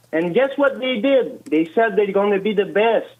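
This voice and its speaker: A French Canadian accent at a moderate pace, with ordinary pitch variation. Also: man. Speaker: political commentator. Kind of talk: heated debate. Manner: animated.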